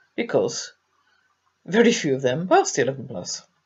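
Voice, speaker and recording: A woman speaks with an English accent. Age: 60s. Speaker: abuse survivor. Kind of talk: testimony. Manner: halting.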